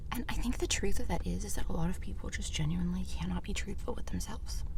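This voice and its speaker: Someone whispers at a fairly quick pace amid noticeable background noise. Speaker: ASMR creator. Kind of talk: whispered eating ramble. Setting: in a car. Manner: whispering; soft-spoken.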